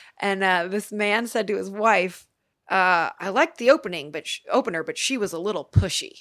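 A plain, everyday voice from a woman with an American accent, medium in pitch, fairly quick, with lively intonation and big swings in loudness, in a very clean recording with a silent background. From US Midwest, Cleveland, Ohio. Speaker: singer-songwriter. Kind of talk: casual interview.

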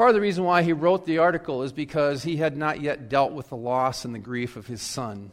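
Using a normal speaking voice with a fairly high pitch, a man talks at a fairly quick pace with lively intonation and big swings in loudness. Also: hardly any pauses. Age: 60s. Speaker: pastor. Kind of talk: sermon. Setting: church.

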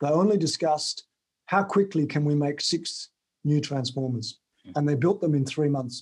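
Somewhat breathy and fairly high-pitched, a man with an Australian accent talks at a fairly quick pace. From Tasmania, Australia. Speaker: author and sales trainer. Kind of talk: interview.

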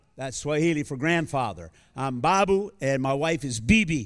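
A man with an American accent and a normal speaking voice, fairly high in pitch, at a fairly quick pace, on a very clean recording with a silent background. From US. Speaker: visiting preacher. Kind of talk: sermon. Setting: church.

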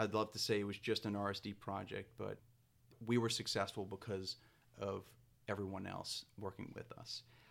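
A man's fairly low, monotone voice with flat intonation and vocal fry, at a moderate pace. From New Orleans, Louisiana. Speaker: historic preservation planner. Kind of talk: interview. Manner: frequent repetitions and filler words.

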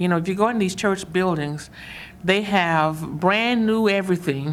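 A woman with an American accent uses a normal speaking voice at a medium pitch, ordinary pitch variation and a moderate pace. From US South, Mississippi. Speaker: community organizer. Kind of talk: interview.

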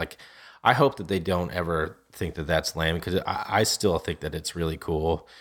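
A man talking at a fairly quick pace. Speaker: podcast host. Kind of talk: casual chat.

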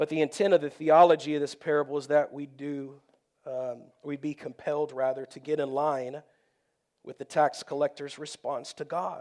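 A man with an American accent speaks at a moderate pace in a fairly high pitch, his intonation flat and monotone while his loudness swings widely, on a very clean recording with a silent background. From Texas. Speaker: pastor. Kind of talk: sermon. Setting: church.

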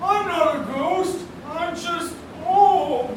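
A woman in a put-on character voice, with strong echo and clear background noise. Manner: defensive, protesting.

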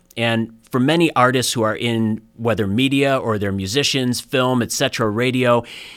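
A man with an unremarkable speaking voice at a moderate pace, ordinary pitch variation, on a very clean recording with a silent background. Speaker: career advisor. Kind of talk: interview.

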